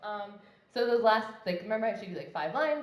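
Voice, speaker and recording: Audible room echo surrounds a woman as she talks. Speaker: conference speaker. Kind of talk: tech talk. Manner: fast; casual, many fillers.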